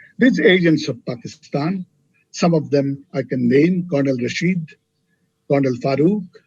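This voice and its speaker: The man's voice is fairly high and somewhat breathy, with ordinary pitch variation. He speaks at a fairly slow pace. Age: 80s+. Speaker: retired public servant, keynote speaker. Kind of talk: lecture. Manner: halting.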